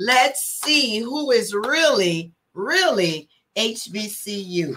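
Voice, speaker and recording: Very wide pitch swings stand out in this bright, sharp tone. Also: woman. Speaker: fraternal organization officer and show co-host. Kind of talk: livestream show hosting. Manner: animated.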